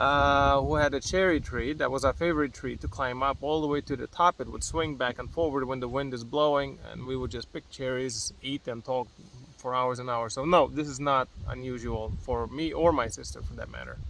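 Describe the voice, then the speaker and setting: The voice carries a Lithuanian accent with fairly even intonation. It moves at a fairly quick pace. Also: man, medium pitch for a man. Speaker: entrepreneur, vlogger. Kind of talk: casual chat. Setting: outdoors, sitting in a mango tree.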